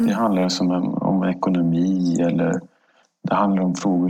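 This man's voice sits very deep and low. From Stockholm, Sweden. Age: 50s. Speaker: government agency director. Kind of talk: interview.

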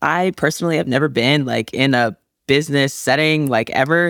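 A woman with a very deep, low pitch and vocal fry speaks at a fairly quick pace with ordinary pitch variation, in a very clean recording with a silent background. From US Midwest and South, moved often. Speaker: college volleyball player. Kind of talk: casual interview.

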